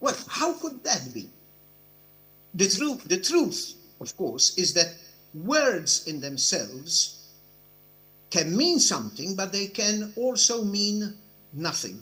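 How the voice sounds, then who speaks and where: Very slowly and with long, frequent pauses, a man speaks in a high, raised, projected voice with a bright, sharp tone and very wide pitch swings. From Europe. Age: 70s. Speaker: judge. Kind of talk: conference speech. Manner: formal.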